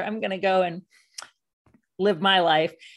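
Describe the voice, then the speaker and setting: This is a woman speaking. Her pitch is medium. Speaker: documentary filmmaker and debt activist. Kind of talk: interview.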